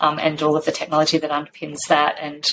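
Amid noticeable background noise, a woman with an Australian accent speaks in a very deep, low voice. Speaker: science organisation CEO, former journalist. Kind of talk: interview.

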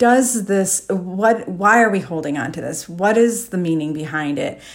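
A woman's unremarkable speaking voice, with lively intonation at a moderate pace. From US Midwest, Chicago area. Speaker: declutter coach, podcast host. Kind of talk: solo monologue podcast. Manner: casual, with frequent fillers.

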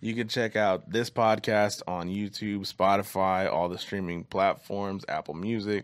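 A man speaks in a plain, everyday voice, fairly low-pitched and fairly slow, with hardly any pauses. His intonation is fairly even, on a very clean recording with a silent background. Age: 20s. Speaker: podcast host. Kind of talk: casual chat.

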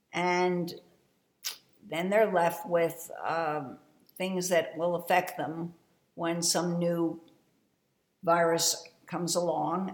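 The woman's voice is fairly low in pitch. She speaks at a very slow pace. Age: 70s. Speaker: podcast host and fitness business owner. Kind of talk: solo monologue, partly reading her own essay aloud. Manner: informal, with fillers.

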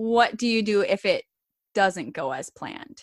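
A woman with a normal speaking voice and fairly high pitch, in a dry, close sound with no echo and a very clean recording with a silent background. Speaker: podcast host, doula, exercise physiologist. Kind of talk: casual interview chat.

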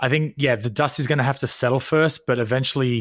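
A man with an Australian accent at a very fast pace, fairly even intonation, and a dry, close sound with no echo. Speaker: podcast co-host. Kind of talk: casual chat. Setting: remote call from home.

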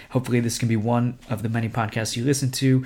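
Recorded very cleanly against a silent background, a man with an American accent speaks at a very fast pace in a medium pitch. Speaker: missionary. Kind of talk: ministry update podcast.

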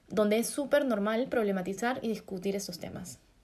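A woman with a fairly high pitch speaks in a dark, mellow tone, her pitch varying in an ordinary way. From Peru. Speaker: fashion designer and podcast co-host. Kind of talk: casual chat.

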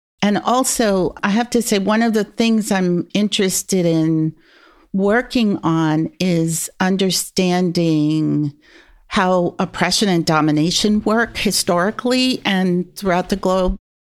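In a normal speaking voice, a woman talks at a fairly slow pace with medium pitch, ordinary pitch variation and very even loudness, on a very clean recording with a silent background. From US, New York. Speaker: sociology professor. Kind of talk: interview.

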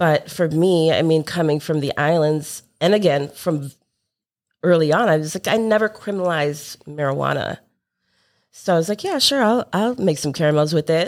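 An unremarkable speaking voice from a woman with an American accent, fairly low in pitch with ordinary pitch variation, at a moderate pace, on a very clean recording with a silent background. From Chicago suburbs, Illinois. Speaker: cannabis edibles baker and graphic designer. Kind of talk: interview.

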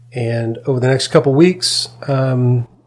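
The man's voice is somewhat breathy. His pitch is medium. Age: 40s. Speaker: pastor. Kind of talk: testimony. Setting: studio.

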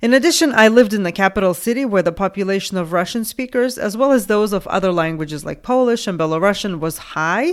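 In a Lithuanian accent, a woman speaks. Her pace is fairly quick. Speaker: podcast host and ESL teacher. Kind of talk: solo educational podcast talk.

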